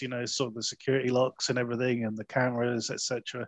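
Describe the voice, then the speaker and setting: A medium-pitched man at a fairly quick pace, dry and close with no echo. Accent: English. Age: 40s. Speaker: podcast host, film reviewer. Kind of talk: casual chat.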